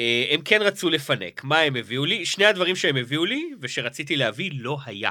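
With an ordinary speaking voice, a man talks at a moderate pace and fairly high pitch, using lively intonation and hardly any pauses. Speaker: podcast co-host, comedian. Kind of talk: casual chat.

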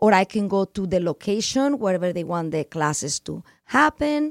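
Through a dry, close sound with no echo, a woman's voice moves in very wide pitch swings. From Spain, Barcelona (Catalonia). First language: Spanish or Catalan. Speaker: farm owner and entrepreneur. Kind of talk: radio interview.

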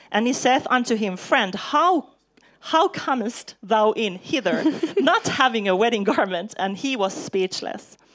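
Speaking in a normal speaking voice, a woman talks fairly slowly at a fairly high pitch with lively intonation. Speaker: preacher. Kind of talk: sermon. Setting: church with live interpreter.

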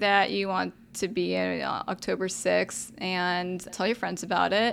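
A fairly slow Texan accent with fairly even intonation, in a very clean recording against a silent background. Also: woman. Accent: Texan American. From Texas, Arlington area. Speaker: startup community founder. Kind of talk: interview. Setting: studio. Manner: casual, laughs often.

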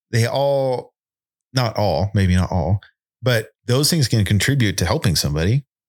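Recorded very cleanly against a silent background, a man with a Californian accent speaks at medium pitch and a moderate pace, his intonation lively and his loudness very even. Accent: Californian American. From Southern California. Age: 30s. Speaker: firefighter paramedic. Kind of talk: casual chat.

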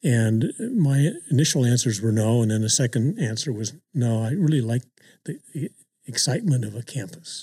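Dry and close with no echo, a man's somewhat breathy, dark, mellow voice at medium pitch moves at a moderate pace on a very clean recording with a silent background. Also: ordinary pitch variation. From immigrant family, grew up in California. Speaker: university system chancellor. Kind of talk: casual conversation. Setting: office.

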